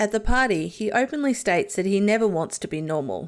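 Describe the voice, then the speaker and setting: A woman with an Australian accent, medium pitch and very wide pitch swings, on a very clean recording with a silent background. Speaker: YouTube TV show reviewer. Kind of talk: video analysis commentary.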